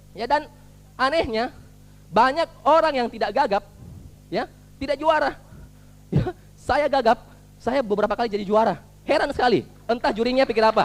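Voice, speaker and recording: A man with an extremely high voice and an animated tone talks at a fairly quick pace, broken by long, frequent pauses. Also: ordinary pitch variation. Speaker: motivational speaker. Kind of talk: motivational talk.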